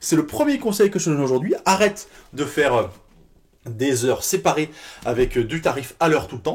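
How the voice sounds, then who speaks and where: Fairly high-pitched and animated, a man talks at a fairly quick pace with very wide pitch swings and long, frequent pauses, in a very clean recording with a silent background. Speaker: fitness business coach. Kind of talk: tutorial. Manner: fast.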